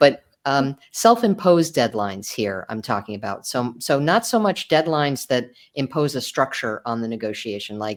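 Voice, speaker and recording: A woman's very deep, low voice with an American accent, on a very clean recording with a silent background. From New York. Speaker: author and negotiation lawyer. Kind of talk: podcast interview. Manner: loud by habit.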